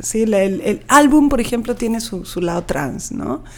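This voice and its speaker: Over noticeable background noise, a woman speaks at a medium pitch. Her pace is fairly slow and her intonation lively. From Peru, Lima. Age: 40s. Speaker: poet. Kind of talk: interview.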